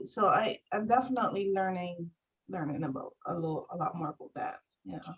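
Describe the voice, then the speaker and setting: A woman with a Barbadian accent speaks fairly quickly at a medium pitch, her intonation lively. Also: big swings in loudness. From Barbados. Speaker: homesteader and mother. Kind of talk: casual interview chat. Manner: halting, many fillers and repeats.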